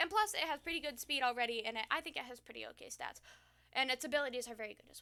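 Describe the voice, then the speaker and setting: Speaking in a raised, projected voice, a woman with a high pitch and a bright, sharp tone races along at a very fast pace with ordinary pitch variation and big swings in loudness. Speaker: gaming YouTuber. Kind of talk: casual commentary video. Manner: hesitant with fillers.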